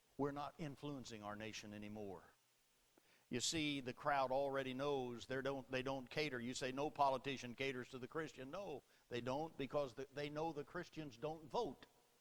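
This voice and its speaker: A man speaks with a normal speaking voice at a medium pitch. His pitch variation is ordinary and his pace is moderate. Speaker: Baptist preacher. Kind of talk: sermon delivered to a congregation.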